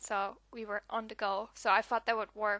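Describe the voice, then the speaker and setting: Bright and sharp in tone, a woman speaks at a fairly high pitch. The sound is dry and close with no echo over a quiet background. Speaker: scrapbooking crafter. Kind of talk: casual voiceover to craft process video.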